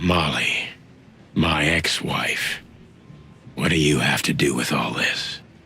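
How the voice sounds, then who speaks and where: A man uses a raspy, put-on character voice with a very deep, low pitch. He speaks at a fairly slow pace with long, frequent pauses. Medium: game stream. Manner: dry, sarcastic, hard-boiled.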